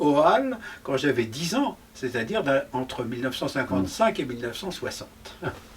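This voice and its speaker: A man's voice moves through very wide pitch swings. Noticeable background noise runs underneath. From France, Paris. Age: 70s. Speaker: historian and novelist. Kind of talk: interview conversation.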